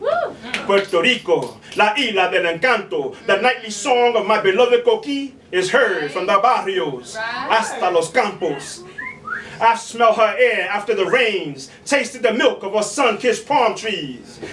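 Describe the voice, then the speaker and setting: A man with a high pitch and lively intonation speaks at a fairly slow pace over noticeable background noise. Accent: American. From New York City. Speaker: spoken word poet. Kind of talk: spoken word poetry performance. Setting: live bar open mic.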